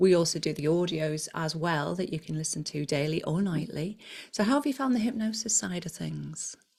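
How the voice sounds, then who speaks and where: Somewhat breathy, fairly low female speech with lively intonation at a fairly quick pace. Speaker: hypnotherapist and weight loss coach. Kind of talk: casual interview chat.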